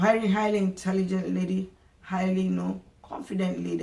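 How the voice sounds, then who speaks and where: A woman speaks with an African accent. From Nigeria. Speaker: vlogger. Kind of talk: casual monologue to camera. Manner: halting, many repetitions and fillers.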